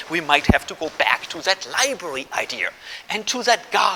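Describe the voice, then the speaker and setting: A man is speaking. Background noise is noticeable. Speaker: philosophy professor. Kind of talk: public lecture. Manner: fast.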